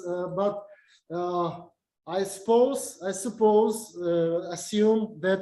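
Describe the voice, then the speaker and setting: Audible room echo surrounds a man with a Russian accent, a high pitch, a dark, mellow tone and fairly even intonation. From Uzbekistan. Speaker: university lecturer. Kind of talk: lecture. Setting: video call. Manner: halting, many fillers.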